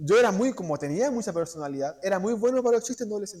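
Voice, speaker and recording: Talking at a very fast pace in a Chilean accent, a man with a high pitch and a dark, mellow tone makes very wide pitch swings. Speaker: preacher. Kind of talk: sermon. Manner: halting.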